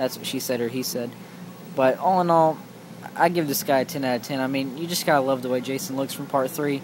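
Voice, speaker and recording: Noticeable background noise under speech at a fairly quick pace. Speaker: toy collector reviewer. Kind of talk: product review. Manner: fast; halting.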